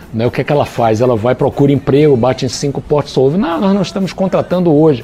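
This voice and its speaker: Rattling along at a very fast pace, a man speaks in a fairly high pitch with ordinary pitch variation. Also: very even loudness. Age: 60s. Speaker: business consultant and author. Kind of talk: interview. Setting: studio, also streamed live on Facebook.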